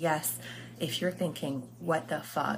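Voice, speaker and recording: A woman speaks with an American accent and vocal fry. Her pace is moderate and her intonation lively. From US, Lebanese family. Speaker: podcast host and life coach. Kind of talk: solo podcast monologue.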